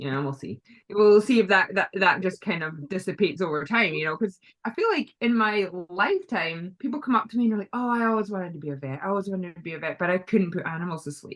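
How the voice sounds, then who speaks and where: Speaking with a Scottish accent, a woman uses lively intonation at a medium pitch. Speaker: veterinarian. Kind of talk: casual interview chat. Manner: hesitant, many fillers.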